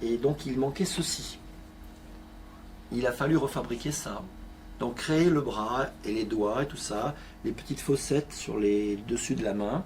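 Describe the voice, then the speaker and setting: A very slow male speaker, long and frequent pauses, ordinary pitch variation. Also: medium pitch for a man. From southern France, Avignon. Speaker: art metal restorer, craftsman. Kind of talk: interview. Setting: workshop.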